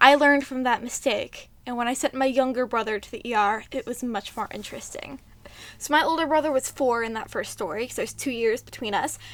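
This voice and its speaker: A woman talks at a fairly quick pace in a high voice, her loudness swinging widely. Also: ordinary pitch variation. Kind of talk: casual storytime talk to camera. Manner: occasional vocal tics.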